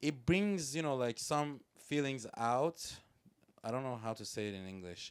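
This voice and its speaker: Lively intonation in a Persian accent at a moderate pace, broken by long, frequent pauses. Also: man, medium pitch for a man. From Iran. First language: Persian (Farsi). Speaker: music producer and rapper. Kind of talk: casual podcast interview. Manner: halting, with many fillers.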